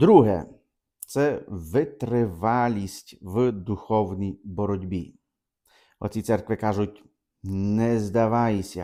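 Very slowly, a man speaks with a fairly low pitch, a dark, mellow tone and ordinary pitch variation. The recording is very clean, with a silent background. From Ukraine, Podillia (Khmelnytskyi region). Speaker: priest. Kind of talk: catechesis talk. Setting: video recording for own channel.

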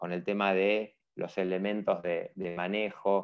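A man speaks at a very slow pace, his pitch fairly low. The background is quiet. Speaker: webinar host. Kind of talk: event introduction. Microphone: earbuds.

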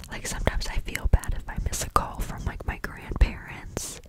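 A woman is whispering. Loud background noise surrounds her. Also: dry sound with no echo. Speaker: content creator. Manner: intimate whisper into the mic. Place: home room. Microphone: studio mic.

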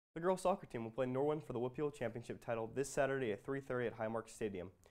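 The man's speech races along very fast. His pitch varies in an ordinary way, and the background stays quiet. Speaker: student sports reporter. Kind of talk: news announcement reading. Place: studio. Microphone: lapel.

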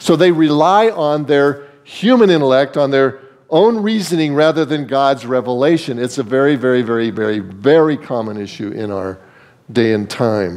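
The speaker goes at a moderate pace, and the pitch swings very wide. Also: man. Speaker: preacher. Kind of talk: sermon. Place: church. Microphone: podium.

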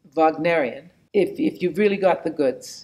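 A woman speaks in a Canadian accent at a moderate pace. Her pitch variation is ordinary. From Canada. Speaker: opera singer. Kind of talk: interview answer. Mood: warm, reflective, humorous.

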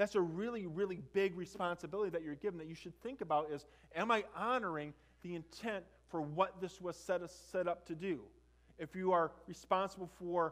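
With a high pitch and fairly even intonation, a man speaks at a fairly quick pace. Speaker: preacher. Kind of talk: sermon. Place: church.

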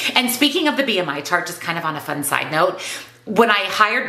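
A woman at a moderate pace with very wide pitch swings, in audible room echo. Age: 40s. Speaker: weight loss vlogger and nutrition coach; weight loss vlogger, nutrition coach. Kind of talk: casual vlog monologue. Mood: light, chatty. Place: home room.

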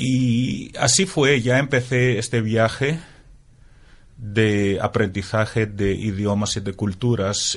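A man's fairly low voice with a Greek accent. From Greece (Crete, Athens). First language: Greek (speaking Spanish). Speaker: translator. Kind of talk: interview. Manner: halting.

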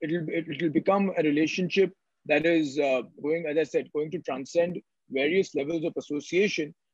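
Heard in a dry sound with no echo, a man with an Indian accent speaks at a fairly high pitch. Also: fairly even intonation, moderate pace, quiet background. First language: Marathi. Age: young. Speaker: entrepreneur and author; webinar panelist. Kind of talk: panel discussion. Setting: video call. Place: office. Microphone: video call.

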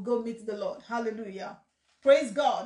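In a quiet background with audible room echo, a woman speaks at a fairly slow pace. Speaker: pastor hosting a question session. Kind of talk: sermon-like teaching chat. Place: home room. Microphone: phone near.

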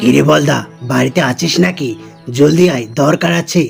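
A man puts on a cartoonish character voice at a medium pitch, speaking fairly slowly over clear background music. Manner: bossy, blunt.

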